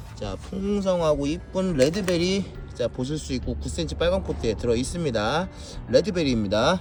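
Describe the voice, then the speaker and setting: Talking at a moderate pace, the man is heard through audible room echo and noticeable background noise. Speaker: succulent seller. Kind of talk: product showcase sales video.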